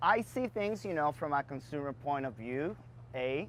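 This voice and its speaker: This speaker has a Dominican accent. The pace is fairly quick. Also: man. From Dominican Republic. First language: Spanish. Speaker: bar and beverage entrepreneur. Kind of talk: interview Q&A.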